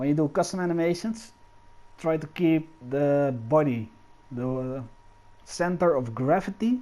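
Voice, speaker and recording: Lively intonation in a non-native accent. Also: man. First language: not English. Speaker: game animation tutorial creator. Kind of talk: tutorial. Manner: hesitant, many fillers.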